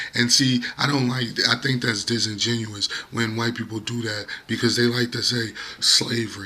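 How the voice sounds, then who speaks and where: Noticeable background noise sits behind this recording. A man speaks at a moderate pace and medium pitch. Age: 30s. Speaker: YouTuber. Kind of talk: casual monologue vlog. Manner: animated.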